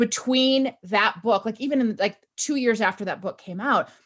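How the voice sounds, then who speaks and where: In a quiet background, a woman with a fairly high pitch and ordinary pitch variation has an unremarkable speaking voice. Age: 40s. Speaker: author and workplace culture consultant. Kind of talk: interview conversation.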